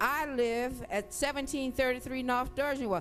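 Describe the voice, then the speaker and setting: A woman with a high pitch and an animated tone, at a moderate pace, with music in the background. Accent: New Orleans. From New Orleans, Louisiana. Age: 60s. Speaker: hurricane survivor testifying at a hearing. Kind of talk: hearing testimony. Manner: animated, emotional.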